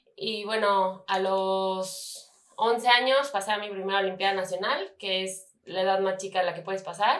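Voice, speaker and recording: A woman's unremarkable speaking voice at medium pitch, with fairly even intonation and a moderate pace. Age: 20s. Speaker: competitive swimmer. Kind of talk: interview.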